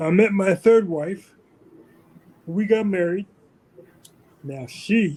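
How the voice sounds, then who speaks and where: Speaking at a very slow pace, a man with a high pitch shows big swings in loudness, long, frequent pauses and ordinary pitch variation. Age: 60s. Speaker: army veteran being interviewed. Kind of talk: interview. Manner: halting.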